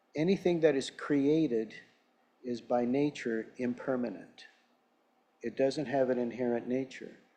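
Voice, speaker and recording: A medium-pitched man in a dark, mellow tone, fairly slow, with ordinary pitch variation and long, frequent pauses. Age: 70s. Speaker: lay speaker at church service. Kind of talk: sermon. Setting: church. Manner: conversational.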